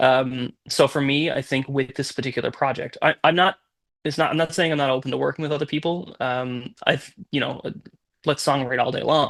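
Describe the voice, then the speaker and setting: A plain, everyday voice from a man, fairly high in pitch, with fairly even intonation and a fairly quick pace. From Newfoundland, Canada. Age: 30s. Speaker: musician. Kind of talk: interview.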